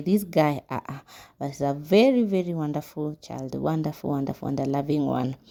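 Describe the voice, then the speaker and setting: Over a very clean recording with a silent background, a woman speaks in a very deep, low voice. Her tone is dark and mellow, with ordinary pitch variation. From Kenya. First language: Kiswahili. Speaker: vlogger. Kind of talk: voice-over narration of vlog.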